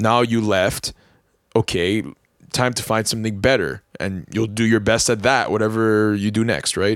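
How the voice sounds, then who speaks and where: The pace is moderate. The pitch shows ordinary variation. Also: man, fairly low pitch for a man. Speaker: podcast host. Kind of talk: casual chat.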